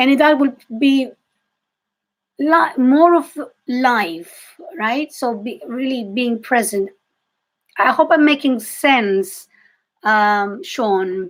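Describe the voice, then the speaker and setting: A woman with a Greek accent speaks at a very slow pace, with long, frequent pauses. Her pitch is high and her intonation lively. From Greece. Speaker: psychic reader and intuitive coach. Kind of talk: live-stream reading for viewers. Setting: live video stream. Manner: halting, with self-corrections.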